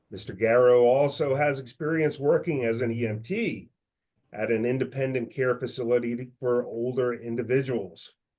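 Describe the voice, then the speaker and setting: A man talks at medium pitch and a moderate pace in a plain, everyday voice. His intonation is fairly even, and the background is quiet. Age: 50s. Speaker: financial firm managing director, webinar opener. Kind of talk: webinar introduction. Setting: webinar. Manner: formal.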